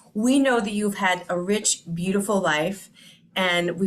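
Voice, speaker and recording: At a fairly slow pace, a woman with an unremarkable speaking voice talks at a medium pitch. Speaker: interviewer, channel host. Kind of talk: interview questions.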